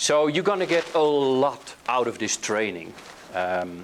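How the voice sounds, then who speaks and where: With a Dutch accent, a man speaks with lively intonation against noticeable background noise. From Netherlands. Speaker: hypnotherapy trainer. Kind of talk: workshop lecture. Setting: training room with live group. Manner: hesitant with filler words.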